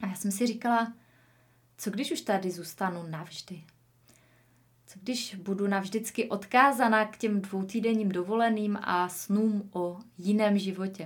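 Fairly even intonation and a somewhat breathy sound from a woman speaking at a fairly slow pace. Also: medium pitch for a woman. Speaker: podcast host, online entrepreneur. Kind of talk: solo podcast monologue, personal story.

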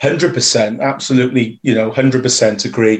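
A South Wales accent at a moderate pace. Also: man. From Wales, Newport. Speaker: rugby club media volunteer. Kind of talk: casual interview.

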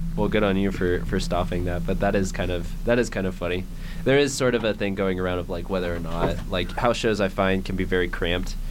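Noticeable background noise sits behind a man's voice. He talks at a fairly quick pace with a very deep, low pitch. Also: ordinary pitch variation. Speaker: radio host. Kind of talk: radio DJ patter: station ID, intro and outro around a live in-studio band interview. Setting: radio studio. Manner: bright, upbeat, conversational; quick friendly station-break delivery.

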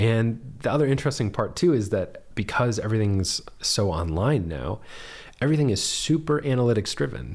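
Using an ordinary speaking voice, a man talks at a fairly quick pace with a medium pitch and lively intonation. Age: 30s. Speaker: podcast host. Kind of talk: casual chat. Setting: living room.

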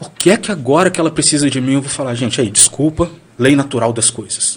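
A man talks at a fairly quick pace with a medium pitch and ordinary pitch variation. His voice is somewhat breathy. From Brazil, Bahia (Valença). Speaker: blogger. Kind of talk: casual chat. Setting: studio.

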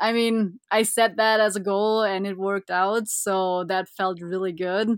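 A woman speaks with a German accent. Her intonation is monotone and flat. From Germany, Bavaria (Füssen). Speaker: ice hockey goaltender. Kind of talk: interview.

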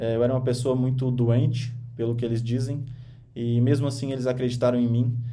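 Amid audible room echo, a man with a dark, mellow tone speaks at a medium pitch and a moderate pace in a monotone, flat intonation. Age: 20s. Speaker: podcast host and author. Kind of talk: motivational monologue on a podcast livestream. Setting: radio studio, streamed live.

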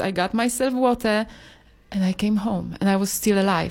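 In a Polish accent, a woman speaks at medium pitch and a fairly quick pace with fairly even intonation, in a very clean recording with a silent background. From Poland. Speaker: yoga teacher and healer. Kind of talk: casual chat. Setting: studio.

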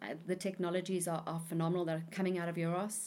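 A woman at a medium pitch, on a very clean recording with a silent background. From South Africa. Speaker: telecoms executive. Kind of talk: interview. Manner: halting.

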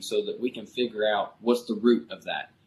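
At a moderate pace, a man talks with a Kentucky accent. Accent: Kentucky Southern American. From Kentucky, US. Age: 20s. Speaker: pastor. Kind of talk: interview.

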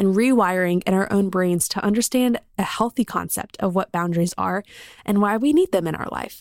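An unremarkable speaking voice with an American accent, a fairly quick pace and ordinary pitch variation, in a dry, close recording with no echo, very clean against a silent background. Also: woman. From South Carolina. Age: 20s. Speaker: podcast host. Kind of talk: casual interview chat; podcast intro monologue.

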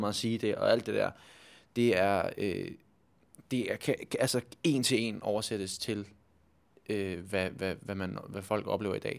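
On a very clean recording with a silent background, a man speaks at a fairly slow pace, his fairly low pitch held in fairly even intonation. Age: 20s. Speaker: stage actor. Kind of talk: interview. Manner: halting.

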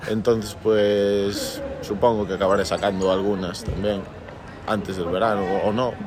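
At a fairly slow pace, a man speaks in a fairly low pitch with monotone, flat intonation. There is audible room echo along with noticeable background noise. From Galicia, Santiago de Compostela. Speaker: musician. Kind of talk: interview.

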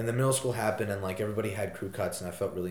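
A man speaks with lively intonation at a fairly low pitch. It is an ordinary speaking voice. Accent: American. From US Northeast, southeastern Connecticut. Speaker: college student guest. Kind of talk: casual chat.

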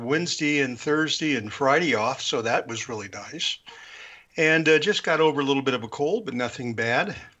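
A man talks at a moderate rate, his fairly high voice moving with ordinary variation in pitch. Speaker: radio DJ. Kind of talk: casual chat.

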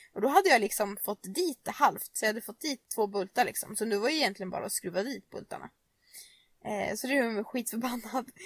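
Very fast and with lively intonation, a woman at a fairly high pitch speaks with big swings in loudness in a dry, close sound with no echo. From Nora, Sweden. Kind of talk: casual chat. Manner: casual, storytelling.

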